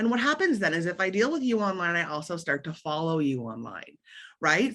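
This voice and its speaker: A woman speaks with a fairly low pitch. Her voice makes very wide pitch swings against a quiet background. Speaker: marketing consultant. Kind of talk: webinar presentation. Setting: online video event. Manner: fast.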